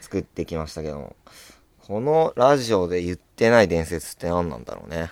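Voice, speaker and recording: Very deep and low, a man's voice runs at a fairly quick pace with lively intonation and big swings in loudness. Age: young. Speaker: comedian. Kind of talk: casual chat.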